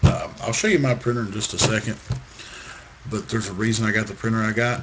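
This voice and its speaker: A man speaks with a fairly low pitch and ordinary pitch variation. Noticeable background noise runs behind him. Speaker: crafts tutorial maker. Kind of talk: tutorial.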